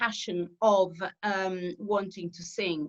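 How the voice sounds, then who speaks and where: Speaking very slowly, a woman with an Italian accent talks at a medium pitch. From southern Italy. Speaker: opera singer. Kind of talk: interview. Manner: halting, many fillers.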